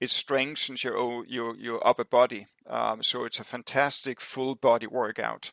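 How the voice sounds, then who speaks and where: Speaking with a Danish accent, a man moves at a moderate pace with hardly any pauses, and the sound is dry and close with no echo. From Denmark. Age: 60s. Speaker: endurance athlete. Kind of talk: podcast interview. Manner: halting, many fillers.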